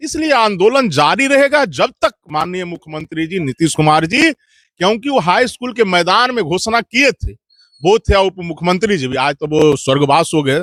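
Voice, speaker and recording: A man's high-pitched, animated voice with very wide pitch swings, recorded dry and close with no echo. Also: hardly any pauses. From Bihar, India. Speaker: local activist. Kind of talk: interview.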